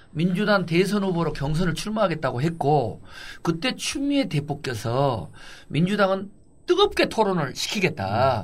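Speaking at a fairly slow pace, a man uses a high voice. His pitch swings very widely. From Honam (Gwangju), South Korea. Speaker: mayor and politician, podcast co-host. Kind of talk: casual chat.

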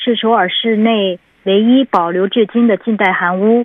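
A woman speaks in an ordinary speaking voice at medium pitch, keeping a fairly even intonation and a moderate pace. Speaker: city government information officer. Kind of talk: informational report in conversation. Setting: phone call.

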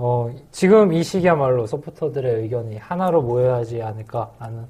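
A somewhat breathy man's voice with a dark, mellow tone, a fairly quick pace and ordinary pitch variation. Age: 20s. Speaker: podcast host. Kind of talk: casual chat. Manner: smooth.

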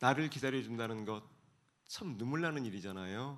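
A man's voice with lively intonation. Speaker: author and speaker. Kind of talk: talk show interview with reflective monologue. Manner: thoughtful, formal, measured.

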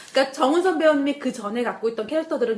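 Speaking in an animated tone, a woman uses a high pitch with very wide swings. Noticeable noise sits in the background. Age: 40s. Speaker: producer and radio host. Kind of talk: casual chat. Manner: animated, jokes and laughs often.

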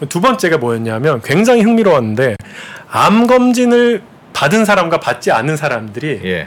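A man speaks in a fairly high voice at a moderate pace, his pitch swinging very widely. Noticeable background noise runs under him. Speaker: economics professor. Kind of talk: interview. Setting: studio. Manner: gentle.

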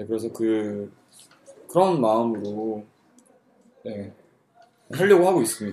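A man talks at a fairly slow pace with long, frequent pauses. His medium pitch carries lively intonation. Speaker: university student, worship team leader. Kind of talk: casual chat.

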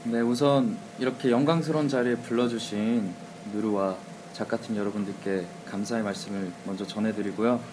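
A man talks at medium pitch and a moderate pace, his pitch varying in an ordinary way as noticeable background noise carries on. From Suwon, South Korea. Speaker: guest radio DJ, duo singer. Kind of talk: casual radio chat.

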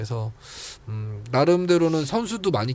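The pitch swings very widely. The delivery keeps a moderate pace. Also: man. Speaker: esports journalist. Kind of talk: casual chat.

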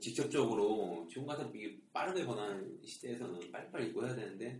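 At a fairly quick pace, a man speaks at medium pitch, with audible echo from the room. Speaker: podcast host. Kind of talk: casual chat.

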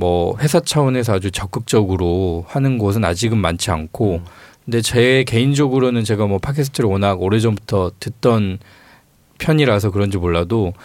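A man with a plain, everyday voice, fairly low in pitch, with ordinary pitch variation, very even loudness and a moderate pace. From Honam (Jeolla), South Korea. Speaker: newspaper reporter. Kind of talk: casual interview chat. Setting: studio.

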